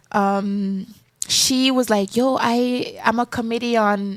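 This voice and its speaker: A woman with a strong Jamaican accent speaks in a fairly high voice. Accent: strong Jamaican patois. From Jamaica, raised in Florida. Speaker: singer and actress, former pageant contestant. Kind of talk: interview. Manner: casual.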